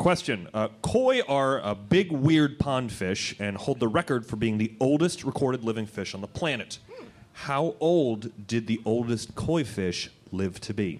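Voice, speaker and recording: At a fairly slow pace, a normal speaking voice moves with lively intonation. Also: man, medium pitch for a man. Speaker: quiz host and magician. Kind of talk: live quiz show comedy. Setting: stage with audience.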